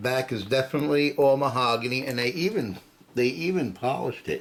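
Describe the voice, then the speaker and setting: Over noticeable background noise, a man mumbles at a medium pitch with lively intonation. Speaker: guitar hobbyist video maker. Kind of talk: tutorial. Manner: halting; mumbling.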